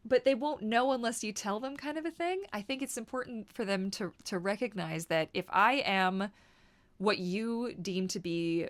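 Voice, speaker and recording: Recorded very cleanly against a silent background, a woman speaks at a moderate pace with lively intonation. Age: 30s. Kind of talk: casual vlog monologue. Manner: loud; animated, conversational with fillers.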